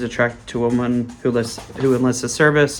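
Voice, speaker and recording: At a very fast pace, a man talks at a medium pitch with fairly even intonation. Behind him, background noise is noticeable. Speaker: movie reviewer / YouTuber. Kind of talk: casual monologue. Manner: fast when passionate.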